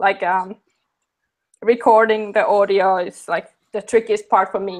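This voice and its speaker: A woman with a non-native accent speaks at a fairly slow pace and in fairly even intonation. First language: not English. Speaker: maker YouTuber. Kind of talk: interview. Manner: halting.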